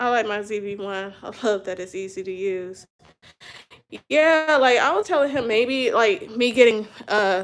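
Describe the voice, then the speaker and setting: A woman's fairly high voice at a moderate pace, animated in tone, with lively intonation and big swings in loudness. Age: 30s. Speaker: YouTuber. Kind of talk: casual chat. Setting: livestream.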